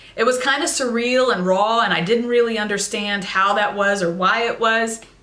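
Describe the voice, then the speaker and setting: Over noticeable background noise and audible room echo, a woman talks at a fairly quick pace with a fairly high pitch and ordinary pitch variation. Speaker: vlogger sharing personal mental health story. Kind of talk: personal testimony to camera. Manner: loud.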